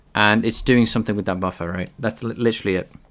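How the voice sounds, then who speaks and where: Speaking in a British accent, a man uses a medium-pitched voice with ordinary pitch variation. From UK. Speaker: game developer streamer. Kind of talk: live coding stream. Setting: live stream. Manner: halting, with many fillers.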